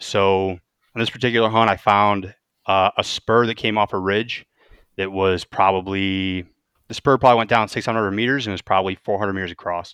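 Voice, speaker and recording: A man with a plain, everyday voice and a fairly low pitch speaks with fairly even intonation, the sound dry and close with no echo over a quiet background. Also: fairly quick pace. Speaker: turkey hunter. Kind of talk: casual chat.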